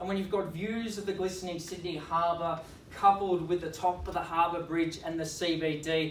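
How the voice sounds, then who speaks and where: A man's high-pitched, monotone, flat delivery at a moderate pace in an Australian accent, with noticeable background noise. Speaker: auctioneer. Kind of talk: real estate auction opening speech. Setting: live auction competition.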